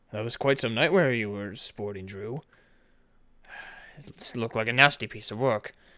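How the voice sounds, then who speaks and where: Using a put-on character voice, a man speaks at a moderate pace with long, frequent pauses. His voice is raspy and medium in pitch. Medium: machinima. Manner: calm, measured and fatherly.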